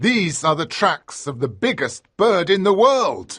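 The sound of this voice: A man puts on a character voice pitched high. He speaks fairly slowly, with very wide pitch swings.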